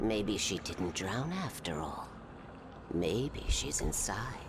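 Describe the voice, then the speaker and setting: A man uses a put-on character voice at a fairly low pitch. He talks at a very slow pace over loud background noise. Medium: video game. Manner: insinuating, manipulative.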